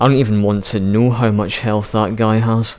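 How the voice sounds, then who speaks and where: Speaking at a moderate pace in a British accent, a man keeps his medium-pitched voice monotone and flat. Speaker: gaming YouTuber. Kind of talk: gameplay commentary.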